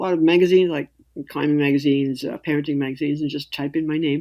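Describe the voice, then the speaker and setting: A woman speaks in an American accent with a very deep, low pitch. Her tone is dark and mellow. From US Northeast, New York City. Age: 60s. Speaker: writer and climber. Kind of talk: interview.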